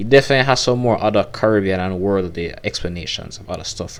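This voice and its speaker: A very fast pace in a Jamaican accent, with ordinary pitch variation. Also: man. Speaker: youtuber and podcaster. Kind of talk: casual reaction commentary.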